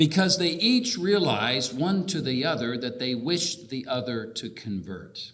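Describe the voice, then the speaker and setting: A man at a fairly high pitch with very wide pitch swings, a moderate pace and hardly any pauses, amid noticeable background noise and audible room echo. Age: 50s. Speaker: bishop. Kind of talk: keynote speech. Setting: convention hall with audience.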